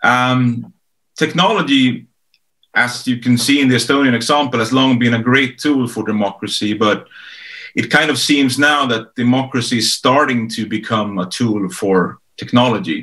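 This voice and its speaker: A man speaks with a Swedish accent and a bright, sharp tone. His pitch varies in an ordinary way against a quiet background. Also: medium pitch for a man, moderate pace. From Sweden. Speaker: author and strategist. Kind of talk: panel discussion. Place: home room. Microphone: video call.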